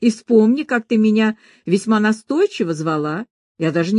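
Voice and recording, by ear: Over a quiet background, a person reads aloud in a natural voice.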